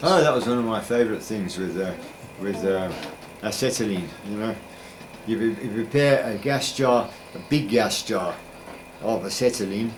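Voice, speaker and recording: A man speaks at a moderate pace with ordinary pitch variation and long, frequent pauses. Noticeable background noise runs underneath. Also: medium pitch for a man. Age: 80s+. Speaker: retired science teacher. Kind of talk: interview answer.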